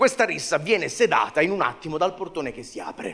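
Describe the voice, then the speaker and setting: A man uses a raised, projected voice with a bright, sharp tone. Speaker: stand-up comedian. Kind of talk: stand-up comedy monologue. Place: stage. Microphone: handheld.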